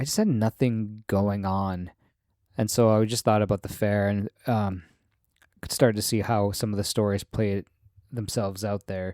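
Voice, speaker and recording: A man with an American accent speaks at a moderate pace in a fairly low, dark, mellow voice with monotone, flat intonation. The recording is very clean, dry and close, with no echo and a silent background. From Michigan Upper Peninsula. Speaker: podcast host. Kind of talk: casual monologue. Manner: rambling, filler-heavy.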